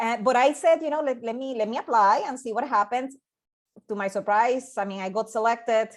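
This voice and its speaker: A woman speaks in a Puerto Rican accent with a fairly high pitch. Her pitch varies in an ordinary way over a quiet background. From Puerto Rico. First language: Spanish. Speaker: scientist and NASA project manager. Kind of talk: invited presentation. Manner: halting, many repetitions and fillers.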